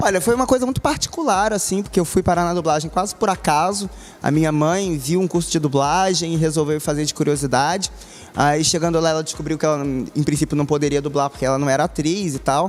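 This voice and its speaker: Pitched fairly high, a man talks at a very fast pace. His loudness stays very even. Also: ordinary pitch variation. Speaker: voice actor. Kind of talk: interview answer.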